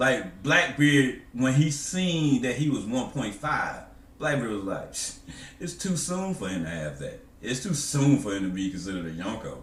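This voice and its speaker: A man of medium pitch with very wide pitch swings and audible room echo. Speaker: anime discussion youtuber. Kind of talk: casual commentary monologue. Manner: slow.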